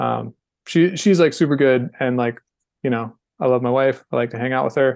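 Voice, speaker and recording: Against a quiet background, a man with an American accent and an ordinary speaking voice talks at a moderate pace in a medium pitch with ordinary pitch variation. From North Carolina. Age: 40s. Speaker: skateboarding podcast host and filmer. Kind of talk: casual interview chat.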